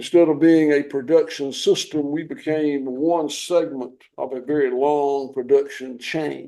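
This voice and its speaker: A man talks with a Southern US accent at a fairly high pitch. His tone is dark and mellow, his intonation monotone and flat, and his pace fairly slow. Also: hardly any pauses. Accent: Southern US (Georgia). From US South, southwest Georgia. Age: 60s. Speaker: farmer. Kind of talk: interview.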